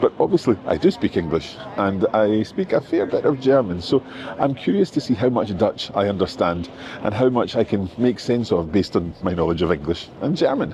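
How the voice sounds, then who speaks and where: A man with a Scottish accent talks at a moderate pace and very even loudness over noticeable background noise. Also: fairly low pitch for a man. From Scotland. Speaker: language teacher and travel vlogger. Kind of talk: travel vlog narration. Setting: outdoors, walking in city streets. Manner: conversational, with hesitations.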